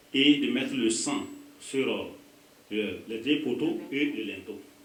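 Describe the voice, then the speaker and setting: Audible room echo is present. The speaker is a man. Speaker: pastor. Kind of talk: sermon. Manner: animated.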